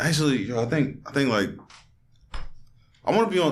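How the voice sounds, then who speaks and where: A man's very fast speech in a New York accent, with vocal fry, very wide pitch swings, and audible room echo. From New York (Queens). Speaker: podcast host. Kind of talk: casual chat. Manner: halting.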